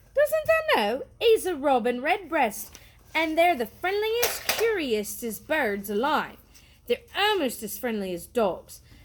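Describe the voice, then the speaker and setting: In a put-on character voice with a Yorkshire accent, a woman speaks gruffly at a high pitch and a fairly slow pace, her pitch swinging very widely. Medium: read story. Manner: gruff, crusty.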